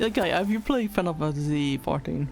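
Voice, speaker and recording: A French accent with music in the background. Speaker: VTuber streamer. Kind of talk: casual livestream chat. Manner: halting, many fillers.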